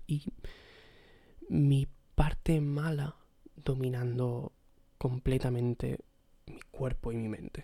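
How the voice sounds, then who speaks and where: A somewhat breathy man with a dark, mellow tone talks at a medium pitch. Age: 20s. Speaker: podcaster. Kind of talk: solo personal monologue. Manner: hesitant, repetitive.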